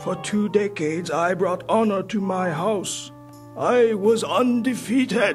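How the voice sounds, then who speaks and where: Over clear music in the background, a man does a cartoonish character voice at a high pitch and a fairly slow pace. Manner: formal, solemn.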